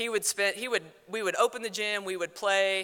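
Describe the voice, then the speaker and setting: Loud and bright, sharp in tone, the voice carries an American accent with monotone, flat intonation. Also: woman. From South Dakota. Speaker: former athlete, teacher and coach. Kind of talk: award acceptance speech. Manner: fast.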